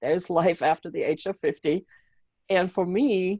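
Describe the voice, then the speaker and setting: A woman with a German accent and a dark, mellow tone speaks at medium pitch and a moderate pace with fairly even intonation, in a dry, close sound with no echo. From Germany. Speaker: mindset coach and author. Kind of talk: interview.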